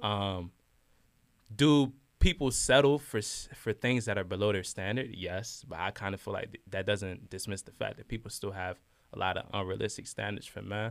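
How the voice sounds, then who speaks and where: In a very clean recording with a silent background, a man with a plain, everyday voice and fairly low pitch talks at a moderate pace, with ordinary pitch variation and big swings in loudness. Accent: American. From Washington DC, Nigerian family. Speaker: college student. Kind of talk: casual chat.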